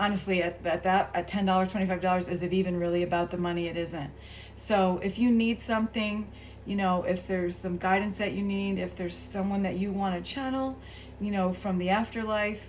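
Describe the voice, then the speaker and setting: Speaking at a fairly quick pace, a woman keeps a medium pitch and fairly even intonation. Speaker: tarot reader and spiritual coach. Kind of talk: casual direct-to-camera talk. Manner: low key, subdued.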